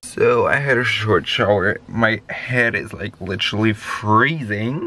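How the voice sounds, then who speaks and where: A man speaking at a very slow pace. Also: dry sound with no echo. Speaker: van life vlogger. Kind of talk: casual vlog chat. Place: car. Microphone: phone near.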